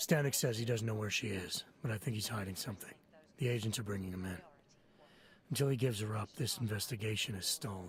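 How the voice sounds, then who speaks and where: A man's put-on character voice, raspy and fairly low-pitched, with ordinary pitch variation at a very fast pace. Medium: video game. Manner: terse, controlled.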